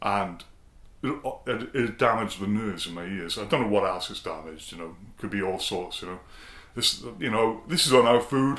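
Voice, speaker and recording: A loud man's voice, fairly low in pitch, with lively intonation at a moderate pace. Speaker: singing bowl shop owner and video host. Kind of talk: casual vlog talk to camera. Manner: hesitant, repeating words.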